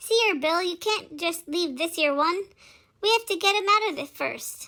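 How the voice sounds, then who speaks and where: A woman's squeaky, growling put-on character voice at an extremely high pitch, at a moderate pace. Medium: solo performance. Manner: growling, curt.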